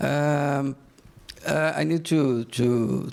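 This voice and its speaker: The speaker is a man with a medium-pitched voice. Its pitch variation is ordinary. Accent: Brazilian. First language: Portuguese. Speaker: bank executive. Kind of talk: conference presentation. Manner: halting, hesitant.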